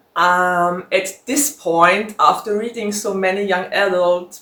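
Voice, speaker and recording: In a German accent, a woman speaks at a very slow pace. Her pitch sits in the medium range. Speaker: book vlogger. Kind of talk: casual Q&A vlog. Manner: conversational with fillers.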